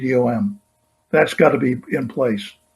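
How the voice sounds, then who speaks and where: Somewhat breathy speech in a quiet setting. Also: man. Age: 80s+. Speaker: supply chain consultant; presenter. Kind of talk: conference keynote presentation. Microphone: webcam.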